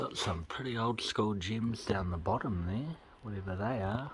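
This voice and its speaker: A man mumbling at a very slow pace, with a fairly low pitch and a New Zealand accent. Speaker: car vlogger. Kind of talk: casual walk-around vlog narration.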